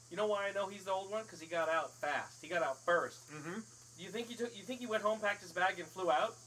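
In a raised, projected voice, a man talks at a very fast pace, high in pitch with ordinary pitch variation. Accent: American. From overseas; later Summit, New Jersey. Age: 40s. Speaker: podcast host and stage actor. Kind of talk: casual chat. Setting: screen porch. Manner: hesitant, many fillers.

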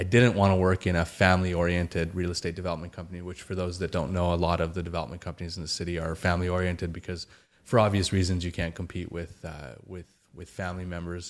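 Very fast and very deep, a man talks with a Canadian accent. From Calgary, Alberta, Canada. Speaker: real estate developer executive. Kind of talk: interview.

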